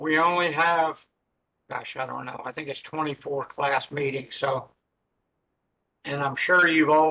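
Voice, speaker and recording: A man speaks at a fairly slow pace in a bright, sharp, fairly high voice with monotone, flat intonation. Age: old. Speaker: math instructor. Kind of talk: lecture. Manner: halting, many fillers.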